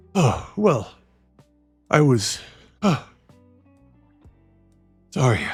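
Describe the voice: Faint music plays in the background as a man with a fairly high pitch uses a put-on character voice.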